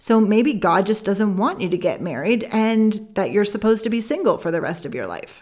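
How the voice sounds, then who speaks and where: Lively in intonation and with hardly any pauses, a woman with a Canadian accent speaks at a moderate pace in an unremarkable speaking voice pitched fairly high. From Canada. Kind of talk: solo podcast teaching.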